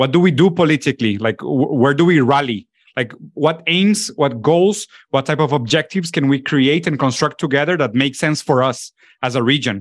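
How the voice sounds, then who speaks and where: Against a quiet background, a man with a Spanish accent talks at a fairly high pitch and moderate pace, with very even loudness and ordinary pitch variation. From Latin America. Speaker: political commentator and documentary filmmaker. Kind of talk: casual intellectual discussion. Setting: video call.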